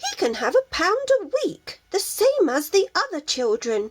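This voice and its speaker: Putting on a squeaky character voice, a woman speaks at a moderate pace in an extremely high pitch with very wide pitch swings. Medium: read story. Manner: gentle but firm.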